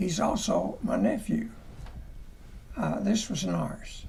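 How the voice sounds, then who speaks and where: A man with a Southern US accent at a very slow pace, with audible room echo. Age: 80s+. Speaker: church elder. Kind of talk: testimony. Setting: parsonage livestream. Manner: halting.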